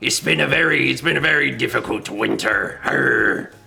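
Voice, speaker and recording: A man does a put-on character voice that sounds raspy. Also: fairly low pitch for a man, moderate pace. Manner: swashbuckling, growly.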